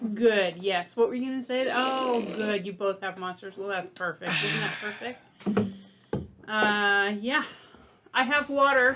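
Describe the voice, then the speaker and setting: Over noticeable background noise, a woman with a fairly high pitch and ordinary pitch variation talks at a fairly slow pace, leaving long, frequent pauses. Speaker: firefighter podcast co-host. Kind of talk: casual chat. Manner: trails off in volume when rambling.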